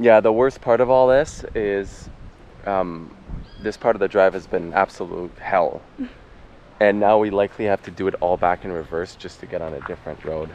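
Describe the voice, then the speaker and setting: At a moderate pace, a man with fairly low pitch and ordinary pitch variation shows big swings in loudness in a dry sound with no echo. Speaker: travel vlogger. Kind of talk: casual vlog chat. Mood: frustrated, disappointed. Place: waterside. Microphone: phone near.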